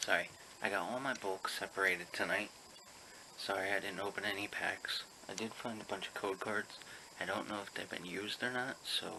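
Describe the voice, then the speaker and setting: A man speaks quietly at a fairly quick pace, his pitch fairly low. His intonation stays fairly even over noticeable background noise. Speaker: pokemon card seller and collector. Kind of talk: casual vlog. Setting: at home. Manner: quiet, lowered voice.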